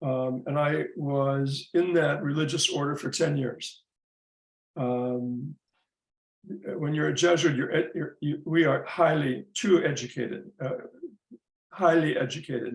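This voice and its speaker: A man with an American accent, fairly high-pitched and somewhat breathy, at a fairly slow pace with long, frequent pauses and fairly even intonation. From US Midwest. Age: 70s. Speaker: psychotherapist and community leader. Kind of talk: interview.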